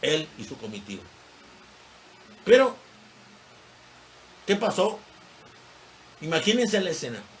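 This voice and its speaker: A man at a fairly slow pace with long, frequent pauses, audible room echo and noticeable background noise. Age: 70s. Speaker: history teacher. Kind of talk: lecture. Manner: conversational, digressive.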